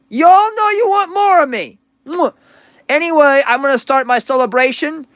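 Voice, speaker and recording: An extremely high-pitched man speaks in an animated tone with lively intonation. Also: moderate pace. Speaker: livestreamer / commentary youtuber. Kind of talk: livestream rant. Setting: livestream in the dark. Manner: halting, stuttering; animated, profane.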